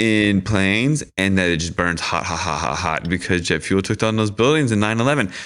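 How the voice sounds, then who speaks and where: A man with an American accent and a plain, everyday voice speaks in a fairly low pitch with lively intonation. He talks at a fairly quick pace with hardly any pauses against a quiet background. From Washington DC area. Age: 40s. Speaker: activist and filmmaker. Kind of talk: casual chat.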